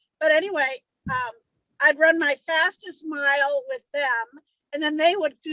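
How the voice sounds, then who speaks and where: A woman's high-pitched, raised and projected voice with a bright, sharp tone. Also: dry, close sound with no echo. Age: 60s. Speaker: book discussion group member. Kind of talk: casual chat.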